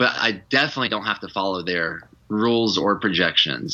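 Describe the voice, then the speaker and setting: A man speaks at a very fast pace with a slight Southern US accent. His tone is bright and sharp, with ordinary pitch variation. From Georgia, US South. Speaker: retreat leader. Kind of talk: podcast interview. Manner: animated.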